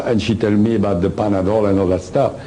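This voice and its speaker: A man with a French accent talks at a moderate pace over noticeable background noise, with audible room echo. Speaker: lecturer on personal experience. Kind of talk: lecture. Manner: halting.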